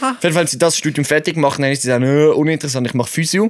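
Very fast speech from a man with a fairly high voice. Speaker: podcast co-host. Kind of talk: casual chat. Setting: sitting side by side in an attic. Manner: animated.

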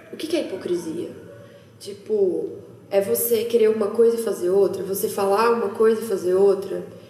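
A woman speaking at a moderate pace amid noticeable background noise and audible room echo. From interior of São Paulo state, Brazil. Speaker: social entrepreneur. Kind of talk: casual chat.

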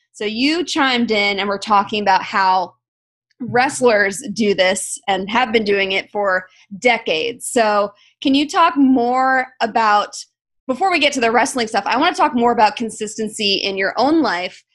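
A woman with an American accent has a plain, everyday voice at a fairly high pitch. Her intonation is lively, and the background is quiet. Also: moderate pace. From South Florida. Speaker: podcast host. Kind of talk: casual interview chat.

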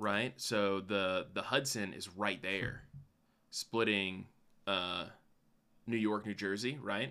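A man speaks at a fairly slow pace in a fairly low voice. His tone is bright and sharp. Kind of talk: casual chat. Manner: animated.

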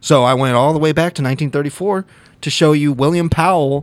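The recording is very clean with a silent background, capturing a man with a fairly high pitch and ordinary pitch variation. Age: 30s. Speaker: podcast co-host. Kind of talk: casual chat.

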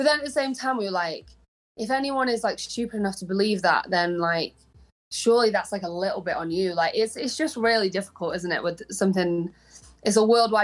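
In a Manchester accent, a woman talks at a fairly quick pace. Her pitch variation is ordinary. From Manchester, England. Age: young. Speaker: pop singer-songwriter. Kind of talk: casual interview.

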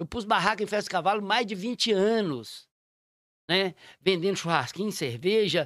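A man speaks at a moderate pace with a high pitch and ordinary pitch variation. The recording is very clean, with a silent background. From Minas Gerais, Raposos. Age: 50s. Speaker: mayor. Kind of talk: casual chat.

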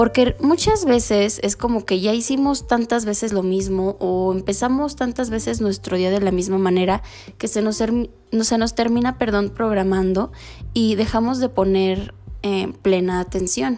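A woman at medium pitch speaks at a fairly slow pace in a dark, mellow tone, her loudness very even and her pitch variation ordinary. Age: 20s. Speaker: spiritual podcaster. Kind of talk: casual monologue.

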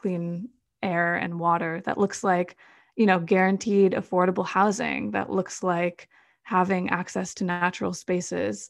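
A woman with a medium pitch talks very slowly. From US Midwest, Madison, Wisconsin. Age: 20s. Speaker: climate activist. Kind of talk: interview.

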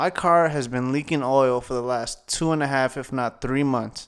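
On a very clean recording with a silent background, a man with an American accent uses an ordinary speaking voice at a moderate pace, his medium pitch moving with ordinary variation. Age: 20s. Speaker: podcast host and comedian. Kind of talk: casual solo monologue.

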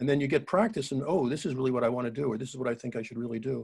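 A somewhat breathy voice at a very fast pace. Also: man. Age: 70s. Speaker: entrepreneur and author. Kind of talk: interview.

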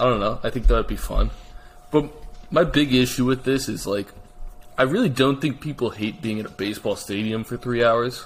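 In an American accent, a man uses a plain, everyday voice at medium pitch, moving at a fairly quick pace with ordinary pitch variation. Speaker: podcast co-host. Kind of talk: casual sports podcast chat.

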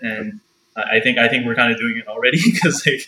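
Fairly quick in pace, a man speaks in a plain, everyday voice at a medium pitch with ordinary pitch variation. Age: 20s. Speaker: freelance photographer and videographer. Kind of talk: casual interview chat.

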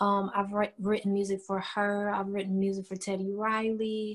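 A woman with an American accent and a plain, everyday voice talks at a moderate pace and a fairly high pitch. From Cleveland, Ohio, US Midwest. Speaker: R&B singer-songwriter. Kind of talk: casual interview chat. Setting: video call.

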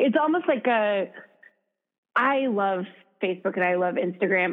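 Speaking with an American accent, a woman with an unremarkable speaking voice and medium pitch keeps a moderate pace. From US Midwest, Minnesota. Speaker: founder of a fitness app. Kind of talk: casual interview chat. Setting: phone call.

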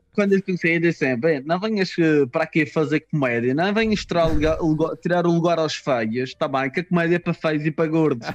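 Speaking at a fairly quick pace in a Madeiran accent, a man with a fairly high pitch, ordinary pitch variation and very even loudness comes through with a dry, close sound and no echo. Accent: Madeiran Portuguese, noticeable. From Madeira, Portugal. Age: 20s. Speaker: stand-up comedian. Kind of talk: casual chat.

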